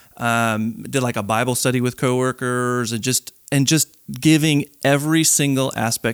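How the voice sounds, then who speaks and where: The recording is very clean with a silent background and a dry, close sound with no echo, and the intonation stays fairly even. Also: man. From Chicago western suburbs, Illinois. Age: 40s. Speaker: church elder in training. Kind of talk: casual interview, personal faith testimony.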